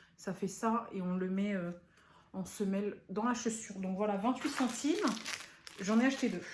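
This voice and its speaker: In audible room echo, a woman at a medium pitch speaks at a moderate pace, leaving long, frequent pauses. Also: ordinary pitch variation. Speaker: beauty and lifestyle YouTuber. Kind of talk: unboxing vlog. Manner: animated.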